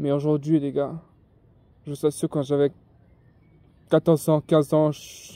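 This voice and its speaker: This voice has a dark, mellow tone and a monotone, flat intonation, moving at a moderate pace. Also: man. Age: young. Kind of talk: casual talk to camera. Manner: hesitant, informal.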